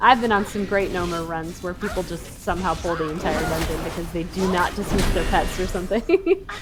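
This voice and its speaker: Music plays behind a woman of medium pitch who speaks at a fairly quick pace with hardly any pauses. Her intonation stays fairly even. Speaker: gaming streamer. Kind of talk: gameplay commentary. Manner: casual, conversational.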